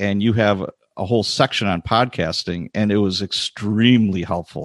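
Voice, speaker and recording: A man with an Upper Midwest accent speaks at a fairly low pitch with ordinary pitch variation, his voice dry and close with no echo against a quiet background. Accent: Upper Midwest American. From US Midwest, Chicago and Wisconsin. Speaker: retired police sergeant. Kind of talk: interview.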